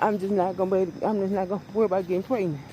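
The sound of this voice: The tone is dark and mellow. This woman's pitch sits in the medium range.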